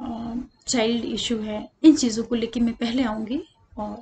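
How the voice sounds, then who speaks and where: A woman speaks softly. Her intonation is monotone and flat. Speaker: astrologer. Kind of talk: tutorial. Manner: soft-spoken. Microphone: voice too quiet, no external mic.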